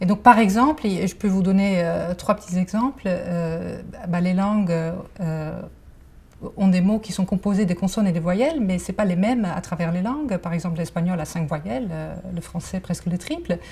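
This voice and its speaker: Talking with a slight Dutch accent, a woman has a medium pitch. She keeps a moderate pace and ordinary pitch variation. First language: Dutch (speaking French). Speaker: cognitive science researcher. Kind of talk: interview. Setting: library. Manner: many hesitations (euh).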